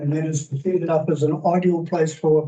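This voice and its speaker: With a New Zealand accent, a man speaks fairly slowly in a dark, mellow tone and monotone, flat intonation. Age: 60s. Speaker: public submitter, businessman. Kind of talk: public submission at council hearing. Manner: halting.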